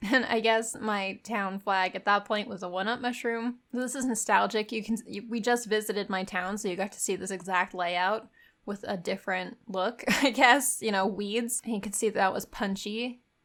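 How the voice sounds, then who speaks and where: A woman's plain, everyday voice, fairly high in pitch, at a moderate pace with fairly even intonation, in a very clean recording with a silent background. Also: hardly any pauses. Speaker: gaming youtuber. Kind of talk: casual game walkthrough commentary. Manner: casual, conversational.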